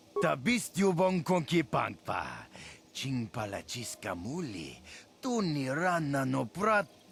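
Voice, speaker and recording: Fairly high-pitched, a man's put-on character voice at a fairly slow pace. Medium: video game. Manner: fluent alien babble.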